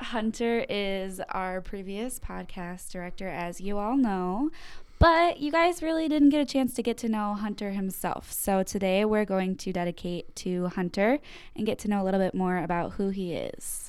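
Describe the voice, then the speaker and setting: A woman's plain, everyday voice in an American accent, medium in pitch, with lively intonation at a moderate pace on a very clean recording with a silent background. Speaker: podcast host. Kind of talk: casual chat.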